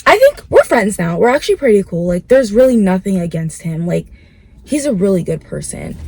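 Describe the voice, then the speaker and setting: A woman is speaking, and noticeable background noise can be heard. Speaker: vlogger. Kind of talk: casual chat. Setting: in a car. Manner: casual, filler-heavy.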